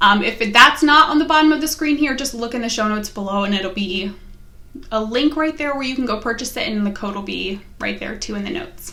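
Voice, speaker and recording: A woman speaks at a fairly quick pace with lively intonation. Her pitch sits fairly high, with an American accent. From US, West Virginia. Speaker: knitting podcaster. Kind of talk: casual vlog chat.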